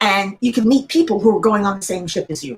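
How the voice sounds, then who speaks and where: A somewhat breathy woman's voice at medium pitch with lively intonation. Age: 60s. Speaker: crafting channel host. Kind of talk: casual chat. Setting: livestream.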